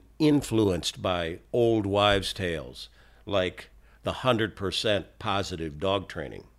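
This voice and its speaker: An ordinary speaking voice with ordinary pitch variation at a fairly slow pace. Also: man, very clean recording, silent background. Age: 60s. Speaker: dog trainer. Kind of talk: monologue podcast talk.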